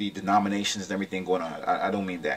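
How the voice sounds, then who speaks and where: A fairly low-pitched male voice over noticeable background noise. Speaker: video blogger on religion and philosophy. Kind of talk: informal lecture. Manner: fast talker.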